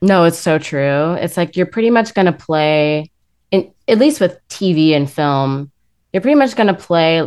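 A woman talks in an American accent with an unremarkable speaking voice. Her pitch is fairly low, her pitch variation is ordinary, and her pace is fairly slow. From US West Coast, Los Angeles. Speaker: actress and musician. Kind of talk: casual chat.

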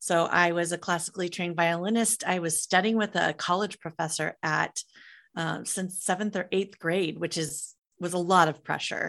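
With an unremarkable speaking voice, a woman talks at a moderate pace and fairly low pitch, her intonation fairly even against a quiet background. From US Midwest (Iowa). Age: 50s. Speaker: entrepreneur, musician and author. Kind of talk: casual interview chat.

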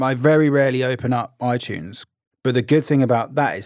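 A man talks at a medium pitch with an English accent. The sound is dry and close, with no echo. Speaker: podcast co-host. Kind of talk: casual chat; scripted narration.

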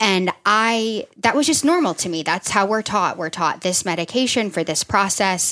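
A woman talks in a plain, everyday voice at medium pitch, with lively intonation and hardly any pauses, at a moderate pace. The recording is very clean, with a silent background. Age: 30s. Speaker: nurse practitioner and health coach. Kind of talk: casual chat.

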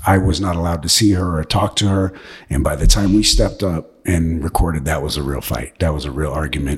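Speaking with an American accent, a man with a very deep, low pitch talks at a very fast pace. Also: ordinary pitch variation. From Washington State, US. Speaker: actor. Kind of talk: interview, life story.

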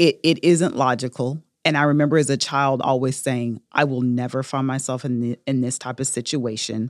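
A woman's very deep, low voice at a moderate pace, fairly even in intonation, with hardly any pauses and a dry, close sound with no echo. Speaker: small business owner, crafter. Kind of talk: personal testimony in an interview. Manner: hesitant, many fillers.

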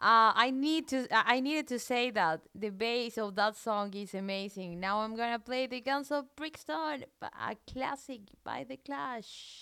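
A woman speaks in a raised, projected voice with a bright, sharp tone at a fairly slow pace. The recording is very clean, with a silent background. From Colombia. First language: Spanish. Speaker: radio DJ. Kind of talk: radio music show chat. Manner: casual, hesitant with fillers.

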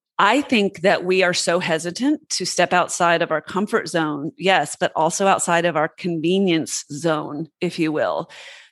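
Fairly low-pitched woman with an unremarkable speaking voice, ordinary pitch variation and a moderate pace, in a dry, close sound with no echo. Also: hardly any pauses. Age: 40s. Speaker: businesswoman and podcast host. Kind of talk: interview conversation.

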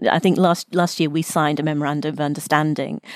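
A woman speaks with a very deep, low voice. The sound is dry and close, with no echo. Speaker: podcast host. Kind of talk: interview, professional conversation.

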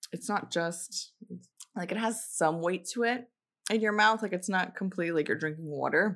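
Her pitch sits in the medium range and varies in an ordinary way. The woman speaks at a moderate pace. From Miami, Florida. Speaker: podcast co-host. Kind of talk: casual chat. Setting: studio.

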